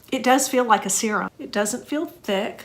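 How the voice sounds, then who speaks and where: Background noise is noticeable here. Over it, a woman talks. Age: 60s. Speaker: skincare content creator. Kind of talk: makeup tutorial talk to camera.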